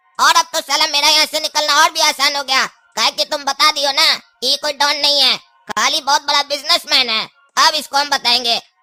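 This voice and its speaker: Over music in the background, a cartoonish character voice talks at a fairly quick pace. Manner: rustic, swears often.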